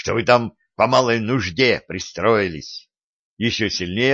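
The background stays quiet. The reading aloud is plain, with ordinary pitch variation.

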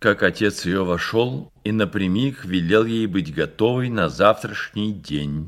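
An unforced reading voice delivers the text.

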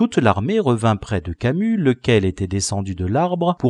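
What we hear is an unforced reading voice.

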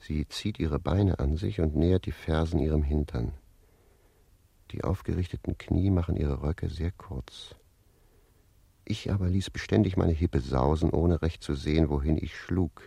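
A man puts on a character voice at an extremely low pitch, with a dark, mellow tone, vocal fry and a slightly husky edge. He goes at a fairly slow pace with ordinary pitch variation.

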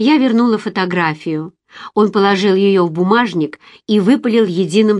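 Against a quiet background comes a natural reading voice, with ordinary pitch variation.

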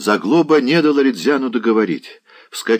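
A natural voice reading aloud

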